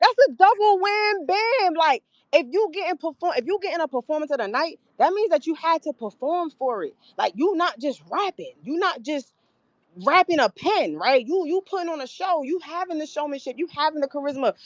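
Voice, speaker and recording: A woman speaks loudly in an extremely high pitch, with an animated tone and lively intonation. Her moderate pace comes through in a dry, close sound with no echo. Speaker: battle rapper. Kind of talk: interview. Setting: live stream.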